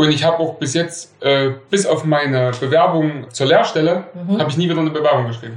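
A man talks at a fairly quick pace in a fairly high pitch, with ordinary pitch variation. Noticeable background noise runs underneath. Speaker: metalworker. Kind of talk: storytelling interview.

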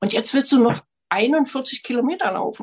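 A woman is speaking. Her pitch shows ordinary variation. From Frankfurt (Oder), East Germany. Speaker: amateur athlete, marathon runner. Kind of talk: storytelling in online salon. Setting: video call.

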